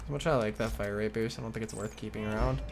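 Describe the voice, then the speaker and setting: Music plays in the background behind a speaker with an American accent. The delivery is very fast. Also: man. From US Midwest. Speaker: video game streamer. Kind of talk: casual gaming chat.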